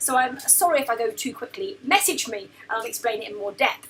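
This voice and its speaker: A woman with a British accent talks fairly quickly at a high pitch, with very wide pitch swings. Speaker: business mentor and former chiropractor. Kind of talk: tutorial. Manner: fast.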